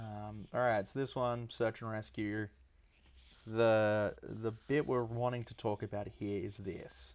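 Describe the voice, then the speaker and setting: Soft-spoken and at medium pitch, a man talks at a fairly slow pace in a monotone, flat intonation against a quiet background. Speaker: music producer. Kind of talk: livestream album breakdown. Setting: livestream. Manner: casual, filler-heavy.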